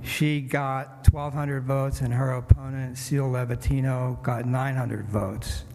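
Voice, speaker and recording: With hardly any pauses, a man talks at a moderate pace in a medium pitch, his intonation monotone and flat, with audible room echo. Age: 70s. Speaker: city council candidate. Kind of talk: campaign speech. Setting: church event.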